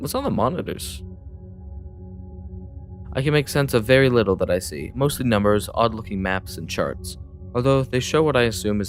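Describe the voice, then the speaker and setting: Music plays in the background as a man talks at a fairly quick pace with very wide pitch swings. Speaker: let's play gamer. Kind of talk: casual let's play commentary, reading a text adventure aloud. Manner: casual, hesitant, stumbles over words.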